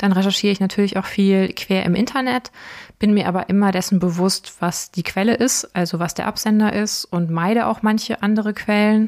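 Fairly even in intonation, a woman talks in a plain, everyday voice. The recording is very clean, with a silent background. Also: medium pitch for a woman, fairly quick pace. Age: 30s. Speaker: podcast host. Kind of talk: casual Q&A chat.

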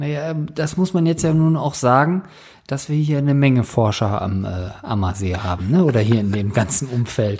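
A man at medium pitch, somewhat breathy, with lively intonation. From northern Germany. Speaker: podcast host. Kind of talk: casual chat.

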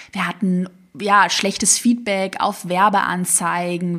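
Her pitch sits fairly low for a woman, and she moves at a moderate pace. The intonation stays monotone and flat, with a slight Swabian accent. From Swabia, southwest Germany. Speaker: online business coach. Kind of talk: motivational solo podcast.

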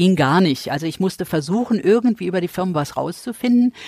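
With a plain, everyday voice, a woman talks at a fairly quick pace in a fairly low pitch, the sound dry and close with no echo. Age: 60s. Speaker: charity founder and entrepreneur. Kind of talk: interview.

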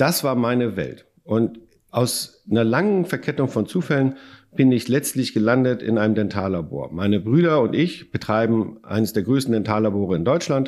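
A man talks in a plain, everyday voice with lively intonation. The background is quiet. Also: medium pitch for a man, moderate pace. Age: 50s. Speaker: company founder. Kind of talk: interview.

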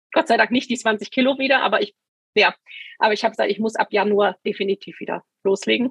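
At a fairly quick pace, a woman talks in a fairly high, somewhat breathy voice. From Hesse, Germany (Taunusstein near Wiesbaden). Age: 50s. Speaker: scoliosis patient. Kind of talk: interview testimony.

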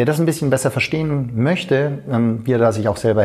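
A man with a dark, mellow tone and a somewhat breathy voice speaks at a moderate pace with lively intonation. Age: 40s. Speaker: fitness coach. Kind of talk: interview. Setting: fitness conference.

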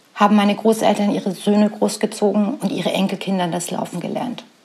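Against noticeable background noise, a woman talks at a fairly quick pace with fairly even intonation. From Saxony, eastern Germany (Radeberg near Dresden). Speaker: podcast host and business coach. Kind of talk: personal storytelling monologue.

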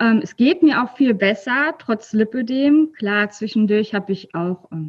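The woman's voice is fairly high and somewhat breathy. She speaks at a fairly slow pace with lively intonation. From Rhineland, near Cologne, Germany. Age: 30s. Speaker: library worker sharing her weight-loss story. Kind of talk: casual interview. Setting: video call from her workplace library. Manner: hesitant, many filler sounds.

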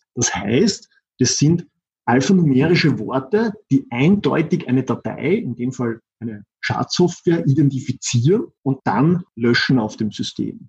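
With an Austrian accent, a man speaks at a fairly high pitch and a fairly slow pace. His voice is somewhat breathy and swings very widely in pitch. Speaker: systems engineer. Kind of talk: interview. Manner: halting.

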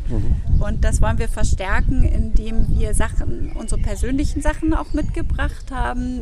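Noticeable background noise and audible room echo fill the clip. A woman speaks at a fairly slow pace. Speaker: ceramic artist. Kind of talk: casual interview. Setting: outdoors. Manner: hesitant, many filler sounds.

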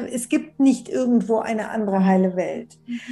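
Her fairly high voice keeps a fairly even intonation while noticeable noise sits behind this woman. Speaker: bestselling author on love and relationships. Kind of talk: interview conversation.

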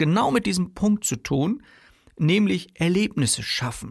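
On a very clean recording with a silent background, a man talks at a moderate pace in a high voice with lively intonation. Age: 40s. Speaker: sales coach and podcast host. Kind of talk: solo podcast monologue. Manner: casual, conversational with frequent fillers.

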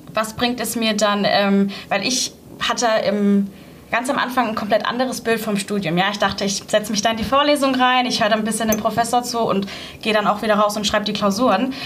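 A woman's fairly high-pitched voice at a fairly quick pace, with fairly even intonation. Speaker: university student and intern. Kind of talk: interview. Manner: hesitant, many filler sounds.

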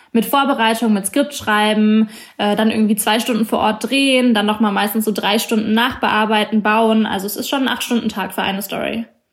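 In a fairly high, somewhat breathy voice, a woman talks at a moderate pace in a monotone, flat intonation with hardly any pauses. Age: 20s. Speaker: journalist. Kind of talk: interview.

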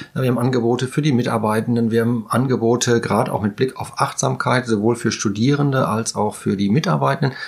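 Hardly pausing, a man talks very fast at a medium pitch with vocal fry. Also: ordinary pitch variation. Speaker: podcast host. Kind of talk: casual interview.

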